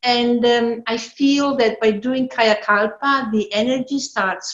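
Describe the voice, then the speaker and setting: A woman speaks with an Italian accent. Her pitch varies in an ordinary way. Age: 60s. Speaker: yoga practitioner and translator. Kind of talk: personal testimony at online event.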